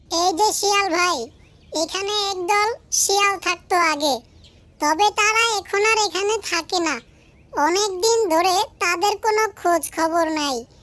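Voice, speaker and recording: A cartoonish character voice squeaks at an extremely high pitch. The pace is fairly slow. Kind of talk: cartoon storytelling voice. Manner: proud and friendly.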